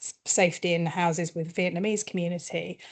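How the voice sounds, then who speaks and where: In a British accent, a woman talks with a fairly low voice. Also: quiet background. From UK. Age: middle-aged. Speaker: communications consultant. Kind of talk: workshop presentation. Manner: quiet.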